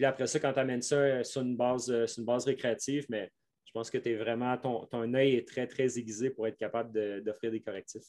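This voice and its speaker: A man talks fairly quickly in a monotone, flat intonation at a medium pitch, his loudness swinging widely. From Quebec. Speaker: mountain bike coach. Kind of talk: interview. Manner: halting.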